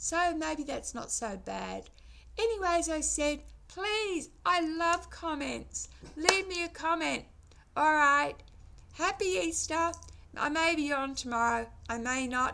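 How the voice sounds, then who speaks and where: A woman with an Australian accent speaks at a very slow pace. She pauses often and at length. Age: 60s. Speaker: vlogger. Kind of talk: casual vlog monologue. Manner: halting.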